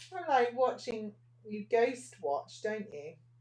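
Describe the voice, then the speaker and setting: There is vocal fry in this woman's voice, which carries an English accent. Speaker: nail art teacher. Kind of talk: live tutorial. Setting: Facebook livestream at a desk. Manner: soft-spoken, almost whispering. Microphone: microphone far away across the desk.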